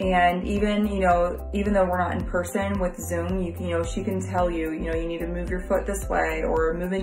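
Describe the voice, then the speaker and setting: The woman's pace is moderate. Music comes through clearly behind her. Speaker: client giving a review. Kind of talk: testimonial, casual talk to camera. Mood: positive, grateful. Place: home room. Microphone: phone near.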